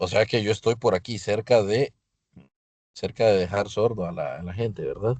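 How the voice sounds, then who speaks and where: Over a quiet background, a man speaks at a moderate pace with fairly low pitch and fairly even intonation. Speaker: physics teacher. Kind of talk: lecture. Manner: loud; halting.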